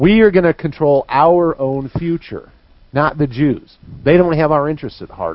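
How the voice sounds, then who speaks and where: In a normal speaking voice with an American accent, the speaker talks at a moderate pace with ordinary pitch variation. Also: man, fairly high pitch for a man. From US Midwest, northeastern Missouri. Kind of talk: live talk radio discussion.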